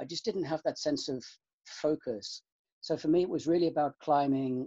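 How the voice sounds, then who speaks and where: In a British accent, the speaker goes at a moderate pace with fairly even intonation against a quiet background. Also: man. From UK, countryside. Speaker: university student life officer. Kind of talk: interview. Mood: calm, thoughtful. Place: home room. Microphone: webcam.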